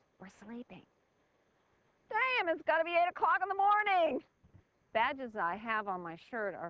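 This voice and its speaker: At a fairly slow pace, the voice has a bright, sharp tone and lively intonation, with a dry, close sound with no echo. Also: woman. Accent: American. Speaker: reality show contestant. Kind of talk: interview. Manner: loud.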